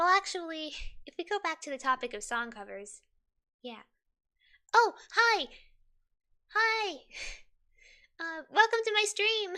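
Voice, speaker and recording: A woman's raised, projected voice, extremely high and bright, sharp in tone, at a fairly slow pace with very wide pitch swings, big swings in loudness and long, frequent pauses. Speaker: streamer. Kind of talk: casual livestream, reading quiz questions aloud. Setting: livestream. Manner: chatty, animated.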